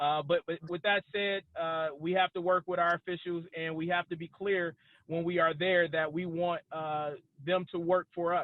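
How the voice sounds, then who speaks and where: A man speaks loudly in a high voice. His intonation stays monotone and flat. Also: moderate pace. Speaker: cannabis business expert, panelist. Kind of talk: webinar panel discussion. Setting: video call while driving.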